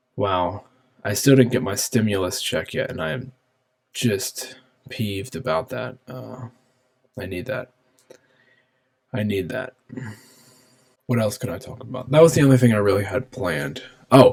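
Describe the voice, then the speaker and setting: A man with vocal fry speaks at a medium pitch and moderate pace, with ordinary pitch variation. He leaves long, frequent pauses, and his loudness swings widely. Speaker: podcast host. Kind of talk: solo podcast talk. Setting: home office. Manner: halting, many fillers; subdued, sleepy-sounding.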